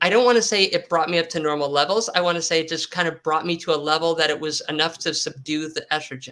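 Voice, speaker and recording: A woman's fairly low voice at a very fast pace, with hardly any pauses. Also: ordinary pitch variation. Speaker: intersex guest sharing health story. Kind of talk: interview testimony.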